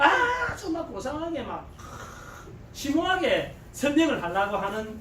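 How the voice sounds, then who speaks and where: The tone is animated, with a strong Gyeongsang accent. Noticeable background noise runs underneath. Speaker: network marketing business leader. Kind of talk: seminar lecture.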